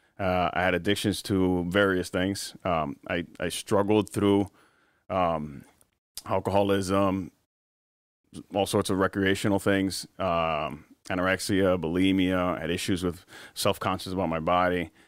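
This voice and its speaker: A man's very deep, low voice at a fairly slow pace, flat and monotone, in a very clean recording with a silent background. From Miami, Florida (Cuban-American). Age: 30s. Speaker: church member. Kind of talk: testimony.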